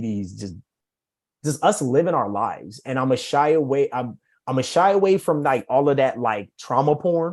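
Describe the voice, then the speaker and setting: At a fairly quick pace, a man with a medium pitch speaks on a very clean recording with a silent background. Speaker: author. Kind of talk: casual chat. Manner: rambling, halting.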